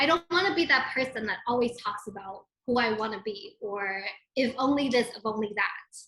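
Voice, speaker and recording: A high-pitched woman's voice at a moderate pace, with lively intonation. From immigrant. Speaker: footwear designer. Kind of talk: interview.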